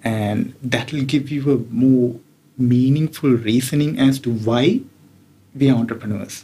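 Dark and mellow in tone, a man's voice sits at a medium pitch and sounds somewhat breathy. He speaks at a fairly slow pace. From Sri Lanka. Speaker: tech executive. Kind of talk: interview. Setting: hotel room.

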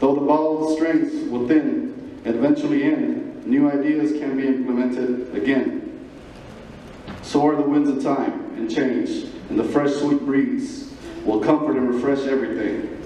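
Audible room echo surrounds a man speaking at a fairly slow pace. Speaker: gala speaker reciting poem. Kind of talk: poetry reading at a gala event. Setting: live event hall. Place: hall.

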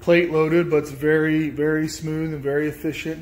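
A man's delivery is monotone and flat, held at a moderate pace. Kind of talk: casual tour narration. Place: garage. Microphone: phone near.

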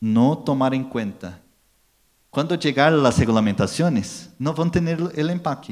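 A man speaks with a Brazilian accent at a fairly slow pace, his intonation lively. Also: quiet background. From Brazil, São Paulo. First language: Portuguese (speaking Spanish). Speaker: packaging industry marketing manager; conference speaker. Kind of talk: conference talk. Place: hall. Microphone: handheld.

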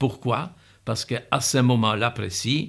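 A man's voice with vocal fry and ordinary pitch variation over a quiet background. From Poland, Warsaw. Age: 80s+. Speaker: Holocaust survivor. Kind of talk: testimony. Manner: halting. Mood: calm, earnest recollection. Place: home room.

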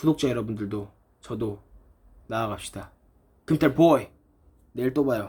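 A man speaks at a medium pitch with a dark, mellow tone, somewhat breathy and with ordinary pitch variation. His speech has long, frequent pauses. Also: moderate pace. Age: 20s. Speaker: YouTuber. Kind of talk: vlog monologue.

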